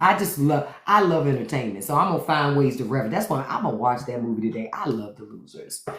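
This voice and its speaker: In a room with audible echo, a woman with a very deep, low pitch talks at a very fast pace in an animated tone. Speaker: podcast host. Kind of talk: casual chat. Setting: live stream.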